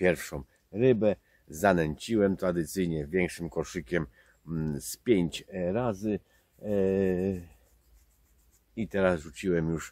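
A man speaks at a very slow pace in a very deep, low voice. The sound is dry with no echo, and the background is quiet. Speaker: angler vlogger. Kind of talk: casual vlog chat. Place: waterside. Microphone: camera far.

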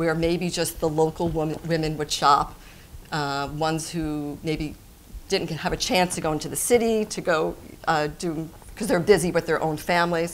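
With a plain, everyday voice, a woman speaks at a moderate pace and a fairly low pitch over light background noise. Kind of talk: interview answer. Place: shop.

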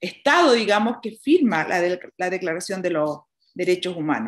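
Intonation here is lively. The background is quiet. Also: woman. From Chile, rural Colchagua Valley; Chile. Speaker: nun and prison chaplain. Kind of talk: conference talk. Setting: video call from a small prison dining room. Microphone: webcam.

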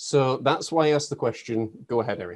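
An ordinary speaking voice, this man's is medium in pitch, moderate in pace and lively in intonation. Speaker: podcast host and life coach. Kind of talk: interview.

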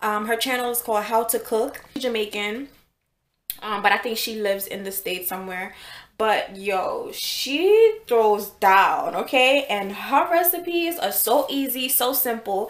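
A woman talks at a fairly slow pace. The recording has audible room echo. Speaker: home cook vlogger. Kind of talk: casual vlog chat. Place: kitchen. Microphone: phone near.

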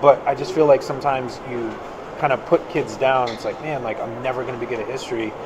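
Over noticeable background noise, a man speaks at a very fast pace. His intonation stays fairly even while his loudness swings widely. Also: medium pitch for a man. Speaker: podcast host. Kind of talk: casual chat. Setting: live at a conference. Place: hall.

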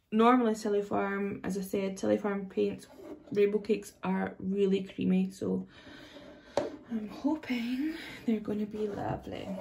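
The speech comes in a Scottish accent at a fairly slow pace. Light background noise can be heard. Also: woman. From Scotland. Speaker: face painter. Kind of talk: casual product demo talk to camera. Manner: upbeat, enthusiastic. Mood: cheerful, enthusiastic. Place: home room. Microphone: phone near.

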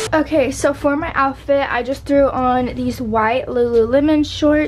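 A woman is speaking with ordinary pitch variation. There is light background noise. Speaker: lifestyle vlogger. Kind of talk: casual vlog chat. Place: home room. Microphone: phone near.

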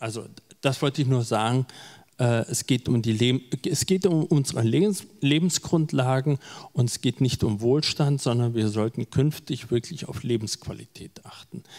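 A man at a fairly slow pace, ordinary pitch variation, quiet background. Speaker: event moderator. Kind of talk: moderated panel discussion with audience. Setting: live event hall with audience and online stream. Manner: halting, many filler words. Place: hall. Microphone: handheld.

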